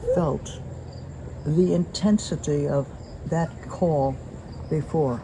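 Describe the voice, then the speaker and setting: A woman speaks with a very deep, low pitch. Noticeable background noise runs behind her. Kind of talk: testimony.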